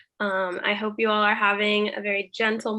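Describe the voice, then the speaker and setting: A woman's fairly high voice at a moderate pace. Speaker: conference session moderator. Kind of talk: online conference presentation. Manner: hesitant, many ums.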